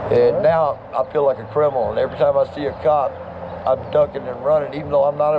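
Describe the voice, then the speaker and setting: Noticeable noise fills the background. Over it, a man speaks very fast. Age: 60s. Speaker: homeless veteran. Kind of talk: street interview.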